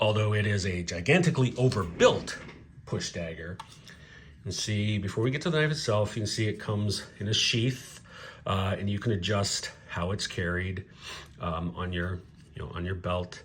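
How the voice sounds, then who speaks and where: A man talks in a fairly low pitch, somewhat breathy, with ordinary pitch variation. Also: moderate pace. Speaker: knife reviewer. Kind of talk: casual product review to camera.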